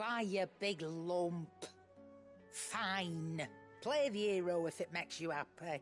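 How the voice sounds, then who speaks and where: Over clear music in the background, a woman does a gruff put-on character voice in a British accent, pitched fairly low and delivered at a fairly slow pace. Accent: British regional, dialect "me" for "my". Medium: video game. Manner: gruff, blunt, dry.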